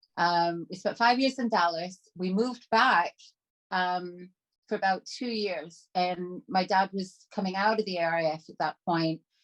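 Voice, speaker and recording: A woman with a Canadian accent speaks at a fairly slow pace, with a medium pitch and ordinary pitch variation. The sound is dry and close with no echo, over a quiet background. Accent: predominantly Canadian. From Canada, Toronto. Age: 50s. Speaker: trauma survivor and artist. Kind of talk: casual chat.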